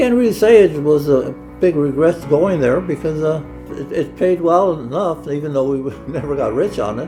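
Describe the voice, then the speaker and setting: There is music in the background. Over it, a man talks at a moderate pace in a fairly high pitch. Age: 80s+. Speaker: retiree. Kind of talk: interview answer.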